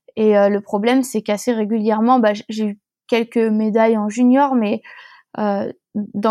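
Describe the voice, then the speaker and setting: A woman's dark, mellow tone sits at a fairly high pitch with a monotone, flat intonation. The very clean recording has a silent background and a dry, close sound with no echo. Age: 20s. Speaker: professional whitewater kayaker. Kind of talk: interview, casual chat. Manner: halting, many fillers.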